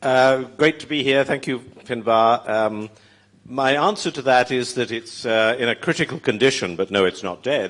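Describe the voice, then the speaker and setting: Against a quiet background, a man with a British accent speaks at a moderate pace, with medium pitch and ordinary pitch variation. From Britain. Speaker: former magazine editor, panelist. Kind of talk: panel discussion.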